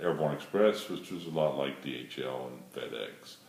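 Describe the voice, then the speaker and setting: With noticeable background noise and audible room echo, a man with a very deep, low pitch talks at a moderate pace. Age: 60s. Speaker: airline pilot. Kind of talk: casting video self-introduction.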